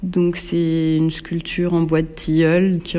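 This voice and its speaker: Over noticeable background noise, a woman speaks at a fairly slow pace with a very deep, low pitch. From central France, Bourges. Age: 40s. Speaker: sculptor. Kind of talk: interview. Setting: home workshop. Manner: hesitant.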